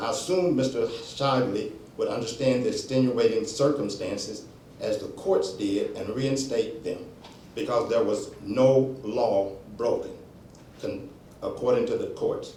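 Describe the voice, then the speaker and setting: Room echo can be heard in this clip. The man's speech comes at a fairly slow pace. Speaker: pastor and community advocate. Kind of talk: public comment reading prepared statement.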